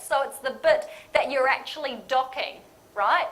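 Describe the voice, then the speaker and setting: Fairly slow, high-pitched woman's voice amid audible room echo and noticeable background noise. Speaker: lean management consultant. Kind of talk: conference presentation. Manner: casual, interactive.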